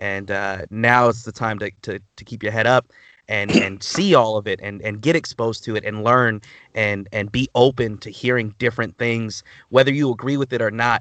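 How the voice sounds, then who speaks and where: Speaking at a medium pitch with an American accent, a man keeps fairly even intonation and a moderate pace. The sound is dry and close with no echo, against a quiet background. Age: 20s. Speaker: comedian and podcast host. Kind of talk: casual chat.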